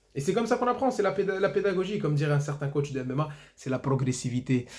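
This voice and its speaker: Over noticeable background noise, a man with a fairly high pitch talks at a very fast pace with very wide pitch swings. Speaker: football YouTuber. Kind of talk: match debrief monologue.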